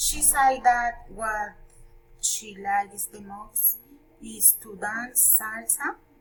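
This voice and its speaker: Her voice is fairly high, and the woman speaks at a very slow pace with ordinary pitch variation. Loudness swings widely over noticeable background noise. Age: 30s. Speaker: student. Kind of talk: class presentation.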